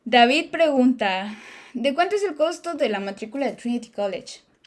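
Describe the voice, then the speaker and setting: A woman's voice with an animated tone. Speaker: YouTuber living abroad, Q&A host. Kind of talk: live stream Q&A. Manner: fast.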